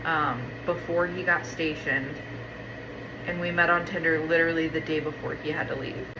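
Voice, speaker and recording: A woman with a fairly low pitch speaks in a monotone at a moderate pace, leaving long, frequent pauses. Noticeable background noise and audible room echo are present. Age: 20s. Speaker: lifestyle vlogger, stay-at-home mom. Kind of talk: casual chat. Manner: rambling conversational.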